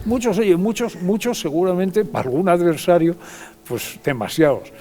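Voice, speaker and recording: A man's high voice with lively intonation at a moderate pace, over noticeable background noise. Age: 80s+. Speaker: retired politician. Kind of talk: TV interview. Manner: halting, many repetitions.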